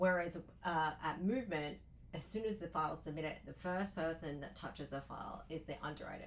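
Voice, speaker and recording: This speaker has an Australian accent and a fairly quick pace. Audible room echo surrounds the voice. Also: woman. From Australia, Sydney. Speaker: loan officer. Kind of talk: interview.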